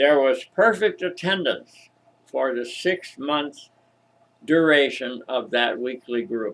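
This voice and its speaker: Speaking at a very slow pace, a man uses lively intonation. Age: 80s+. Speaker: retired minister and storyteller. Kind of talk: storytelling monologue.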